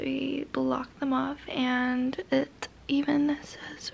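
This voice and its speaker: A woman speaks with a high pitch. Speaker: vlogger on a road trip. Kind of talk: casual vlog chat. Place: home room. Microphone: phone near.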